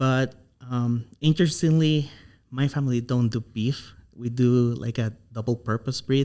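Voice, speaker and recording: A man's medium-pitched voice with a dark, mellow tone and a non-native accent, fairly even intonation, and a fairly slow pace. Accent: non-native English speaker. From Honduras. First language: Spanish. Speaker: animal science doctoral researcher. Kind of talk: podcast interview.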